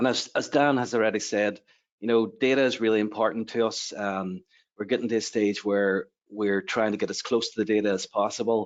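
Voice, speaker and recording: A man with an Irish accent, fairly low in pitch, fairly quick in pace, with fairly even intonation. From Ireland. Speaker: university lecturer in computing. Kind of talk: webinar presentation.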